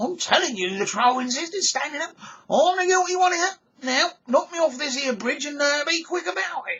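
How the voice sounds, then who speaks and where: The put-on character voice is high-pitched and moves at a moderate pace. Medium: read story. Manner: blustering.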